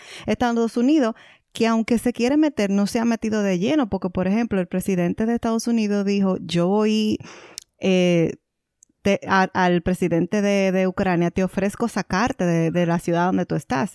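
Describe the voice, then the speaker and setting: In a very clean, silent recording with a dry, close sound and no echo, a woman speaks at a moderate pace with a dark, mellow tone, medium pitch, ordinary pitch variation and very even loudness. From Dominican Republic. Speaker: podcast co-host. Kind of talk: casual chat.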